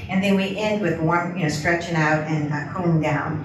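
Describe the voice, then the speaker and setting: There is noticeable background noise and audible room echo as a woman with a fairly low pitch speaks with ordinary pitch variation. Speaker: person with Parkinson's giving a talk. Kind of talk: presentation to a support group. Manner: fast.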